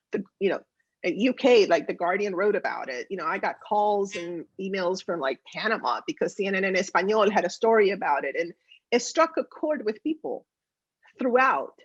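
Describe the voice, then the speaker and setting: A woman with a slight Spanish accent speaks at a moderate pace in a medium-pitched voice with very wide pitch swings, the sound dry and close with no echo. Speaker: politician. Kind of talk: interview.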